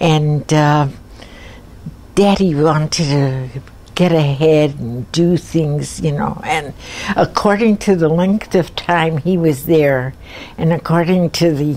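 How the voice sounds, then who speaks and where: At a very slow pace, a woman with a very deep, low voice speaks with fairly even intonation over noticeable background noise. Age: 80s+. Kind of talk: oral history interview answer. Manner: hesitant, rambling.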